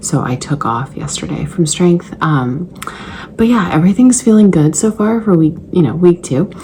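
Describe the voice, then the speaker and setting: Someone is whispering at a moderate pace. Noticeable background noise sits behind the voice. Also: woman. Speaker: fitness vlogger and trainer. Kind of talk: casual vlog.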